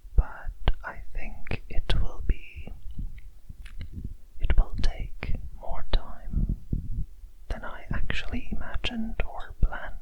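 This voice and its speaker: Whispering at a very slow pace by a man, with long, frequent pauses and noticeable background noise. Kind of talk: ASMR close whispers talk to camera. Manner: whispered, soft-spoken.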